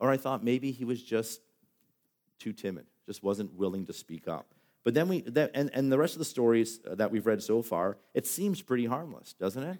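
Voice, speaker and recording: Lively intonation from a man at medium pitch. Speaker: pastor. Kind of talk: sermon. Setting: church. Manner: fast.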